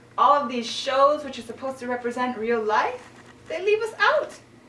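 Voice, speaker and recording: Noticeable background noise behind a woman's high voice, moving at a moderate pace with lively intonation. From Kitchener-Waterloo, Ontario, Canada. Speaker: spoken word poet and singer-songwriter. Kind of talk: spoken word poetry performance.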